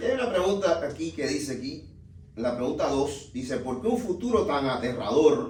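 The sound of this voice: In a room with audible echo, a man speaks at a moderate pace with a slightly mellow tone. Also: fairly high pitch for a man, lively intonation.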